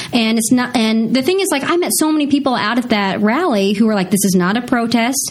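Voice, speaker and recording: Over noticeable background noise, a woman with a fairly high pitch and lively intonation talks at a fairly quick pace with hardly any pauses and very even loudness. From Missouri, US Midwest. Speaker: TV news anchor. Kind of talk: casual interview.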